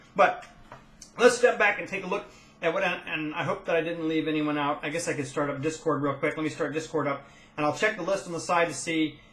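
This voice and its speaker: A man's fairly high voice with ordinary pitch variation at a fairly quick pace, over noticeable background noise. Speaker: gaming guild leader. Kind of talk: casual monologue update. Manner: fast.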